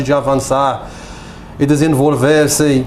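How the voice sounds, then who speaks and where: Noticeable background noise sits behind the recording. The speaker is a man. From Morocco. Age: 30s. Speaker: political activist, refugee. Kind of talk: TV interview, partly reading prepared text. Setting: TV studio. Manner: halting, basic Portuguese.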